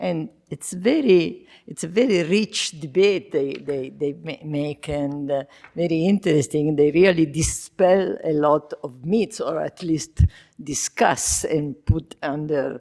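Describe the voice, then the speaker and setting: Very slowly, a woman with an Italian accent speaks in a very deep, low pitch with a dark, mellow tone and ordinary pitch variation. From Italy. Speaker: discussant. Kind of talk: academic panel discussion. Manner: halting.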